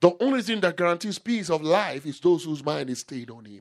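A man speaks at a moderate pace and a fairly high pitch. His tone is animated. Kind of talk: sermon. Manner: emphatic, repeating key phrases for effect.

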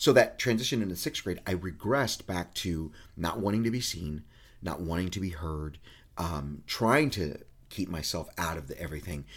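Lively intonation marks a man's very deep, low pitch on a very clean recording with a silent background. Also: moderate pace. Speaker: podcast co-host. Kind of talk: casual chat.

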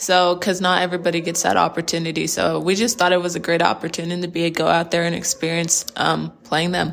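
A woman's fairly low, monotone, flat voice at a very fast pace, hardly any pauses, with noticeable background noise. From Texas, Plano (Dallas area). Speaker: college basketball player. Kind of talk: interview.

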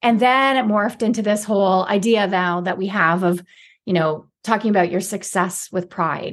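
A woman with a plain, everyday voice and a Canadian accent, at a medium pitch and moderate pace, with ordinary pitch variation over a quiet background. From Canada, inner city Toronto. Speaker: author and former TV reporter. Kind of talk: interview.

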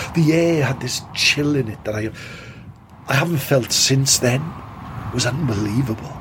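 A man talks at a moderate pace with ordinary pitch variation, leaving long, frequent pauses over noticeable background noise. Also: medium pitch for a man. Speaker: podcast host and actor. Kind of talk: spooky fiction, telling a ghost story in character.

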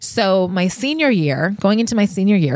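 A woman with an American accent, an ordinary speaking voice, medium pitch and lively intonation, on a very clean recording with a silent background. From Connecticut, Fairfield. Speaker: podcast host and brand founder. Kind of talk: personal storytelling monologue. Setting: studio couch.

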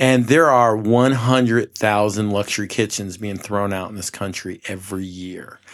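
With an American accent and an ordinary speaking voice, a man talks at a fairly low pitch with ordinary pitch variation, big swings in loudness and hardly any pauses, in a very clean recording with a silent background. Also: moderate pace. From New York, Mid-Hudson Valley. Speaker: company founder. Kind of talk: podcast interview. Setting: showroom studio.

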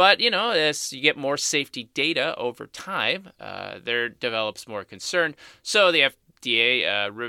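A man uses a normal speaking voice at a medium pitch and fairly slow pace with lively intonation. The recording is very clean, with a silent background and a dry, close sound with no echo. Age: 50s. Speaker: cosmetic chemist podcast host. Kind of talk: solo Q&A podcast answering listener questions. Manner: conversational with frequent filler words.

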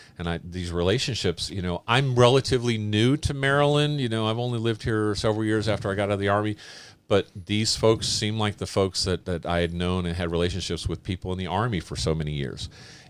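Speaking very fast with hardly any pauses, a man with a fairly low pitch, ordinary pitch variation and an American accent is captured in a very clean recording with a silent background. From California. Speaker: amateur dirt bike racer. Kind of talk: casual chat.

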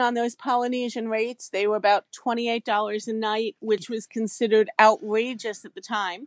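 On a very clean recording with a silent background, a woman speaks at a moderate pace in a dry, close sound with no echo. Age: 40s. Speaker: travel agent. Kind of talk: interview.

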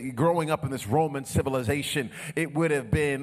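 Fairly quick and fairly high in pitch, a man talks in a plain, everyday voice. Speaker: pastor. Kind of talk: sermon. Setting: church.

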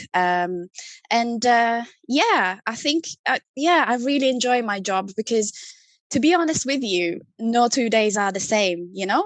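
With an Italian accent, a woman speaks at a fairly slow pace in a fairly high pitch, her intonation lively. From Italy. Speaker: CRM marketing manager. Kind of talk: casual interview chat. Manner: hesitant, many fillers.

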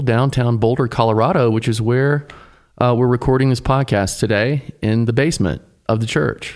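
This man has an ordinary speaking voice at medium pitch. He talks at a moderate pace with an American accent. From US South, Tennessee. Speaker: pastor, podcast co-host. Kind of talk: casual chat.

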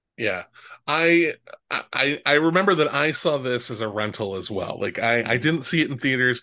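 Over a quiet background, a man with an American accent and an unremarkable speaking voice talks at a moderate pace, his fairly high pitch carrying lively intonation. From Omaha, Nebraska. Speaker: podcast host. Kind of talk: casual interview chat.

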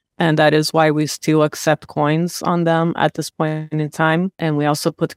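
In a Portuguese accent, a woman with a very deep, low pitch speaks at a moderate pace in a very clean recording with a silent background and a dry, close sound with no echo. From Brazil. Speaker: real estate investor. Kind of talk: interview.

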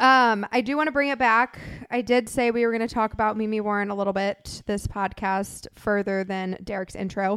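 In a very clean recording with a silent background, a woman with a normal speaking voice and an American accent talks at a moderate pace with fairly even intonation. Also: fairly high pitch for a woman. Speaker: podcast co-host. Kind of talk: casual chat.

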